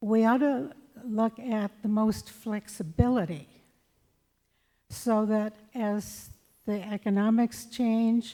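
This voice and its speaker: The speaker is a woman with a fairly high pitch, ordinary pitch variation and a dark, mellow tone. She talks at a very slow pace with long, frequent pauses. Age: 80s+. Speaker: public commenter at council meeting. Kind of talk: public comment.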